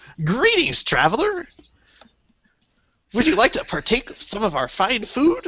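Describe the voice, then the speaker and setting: A put-on character voice of fairly high pitch makes very wide pitch swings. It moves at a moderate pace with long, frequent pauses. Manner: polite, welcoming.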